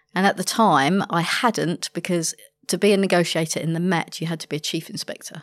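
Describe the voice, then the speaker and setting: Someone with a London accent speaks at a fairly quick pace and with fairly even intonation, in a dry, close sound with no echo on a very clean recording with a silent background. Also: woman, fairly low pitch for a woman. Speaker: hostage negotiator. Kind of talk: podcast interview.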